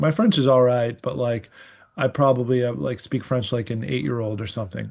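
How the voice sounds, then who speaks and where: Over a quiet background, a man with a Canadian accent speaks at medium pitch and a fairly quick pace with ordinary pitch variation. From Canada, Ottawa. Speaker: writer. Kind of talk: casual chat. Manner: halting, many fillers.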